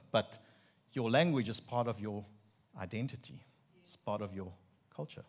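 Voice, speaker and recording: With an Afrikaans South African accent, the speaker keeps a moderate pace. The intonation is lively, with big swings in loudness. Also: man, fairly low pitch for a man. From South Africa, Free State. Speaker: preacher giving a sermon. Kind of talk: sermon. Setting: church with congregation.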